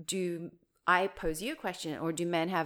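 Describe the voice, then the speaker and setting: Heard on a very clean recording with a silent background, a woman speaks in a fairly low pitch. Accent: New Zealand. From New Zealand. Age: 40s. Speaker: wellness coach and brand consultant. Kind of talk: casual chat. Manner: animated.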